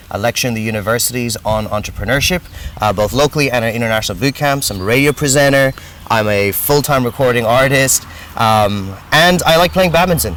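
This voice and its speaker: Fairly quick and with lively intonation, a man speaks in an American accent at a medium pitch. Noticeable background noise is present. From grew up in ten countries, Indian diplomat family. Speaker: entrepreneur and business adviser. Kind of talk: interview.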